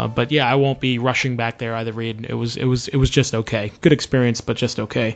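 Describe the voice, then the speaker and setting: A man speaks with a Boston accent. His pace is fairly quick. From US Northeast, Boston. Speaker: podcast host. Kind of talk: casual chat. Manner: halting, many fillers.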